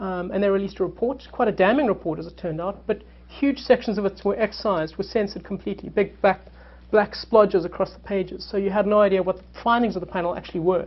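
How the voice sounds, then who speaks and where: Very fast speech from a woman at medium pitch, with vocal fry, ordinary pitch variation and big swings in loudness. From South Africa. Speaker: journalist. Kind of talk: panel talk. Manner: halting, many fillers and repetitions.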